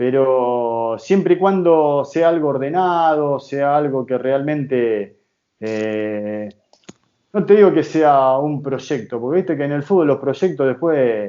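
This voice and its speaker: A man with a fairly high pitch, speaking at a very slow pace. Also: ordinary pitch variation. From Argentina, Rosario. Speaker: football coach and former player. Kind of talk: interview.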